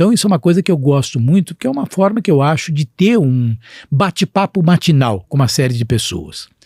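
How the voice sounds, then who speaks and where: In a dry, close recording with no echo, a man with a fairly high, somewhat breathy voice speaks at a fairly quick pace, his pitch swinging very widely. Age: 60s. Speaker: physician and healthcare executive. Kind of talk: podcast interview.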